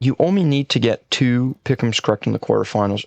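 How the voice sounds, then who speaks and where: Quiet and fairly quick, a man at a medium pitch speaks with a dry, close sound and no echo. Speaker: esports content creator. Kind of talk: casual commentary video.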